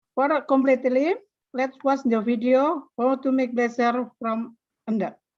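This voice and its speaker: Speaking at a fairly slow pace with an Indonesian accent, a woman keeps her high pitch in fairly even intonation. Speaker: vocational school teacher. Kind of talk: presentation. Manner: halting.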